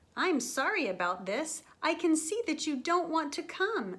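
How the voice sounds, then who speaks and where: In a squeaky, put-on character voice, a woman speaks at a moderate pace with an extremely high pitch and very wide pitch swings. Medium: read story. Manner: polite, booming.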